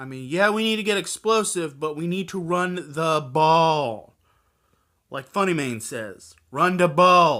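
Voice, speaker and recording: This man's voice is high-pitched, with a bright, sharp tone, lively intonation and big swings in loudness, in a very clean recording with a silent background. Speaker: sports vlogger. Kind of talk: casual sports preview vlog. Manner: speech impediment; halting.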